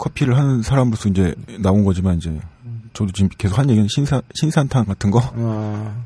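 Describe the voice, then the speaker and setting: With a dark, mellow tone and a somewhat breathy quality, a man speaks fairly quickly at a fairly low pitch with ordinary pitch variation. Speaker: cafe team leader, coffee expert. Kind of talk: casual chat, drinking session. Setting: studio.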